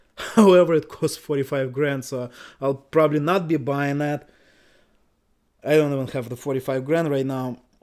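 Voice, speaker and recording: A man mumbles at a fairly high pitch with fairly even intonation and long, frequent pauses. The recording is very clean, with a silent background. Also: moderate pace. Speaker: website investor YouTuber. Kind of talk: screen-share tutorial commentary. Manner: mumbling; casual, filler-heavy.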